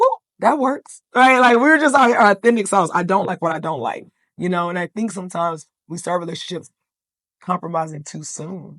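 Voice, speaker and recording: Over a quiet background, a woman speaks fairly quickly with lively intonation and big swings in loudness. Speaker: podcast guest. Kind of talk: casual chat.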